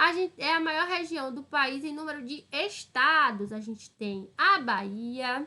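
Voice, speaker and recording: A woman's high-pitched, raised and projected voice in a northeastern Brazilian accent, bright and sharp in tone, with lively intonation, a fairly slow pace and hardly any pauses. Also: big swings in loudness. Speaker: school teacher. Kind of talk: online lesson. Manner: casual, explanatory with frequent 'tá?'.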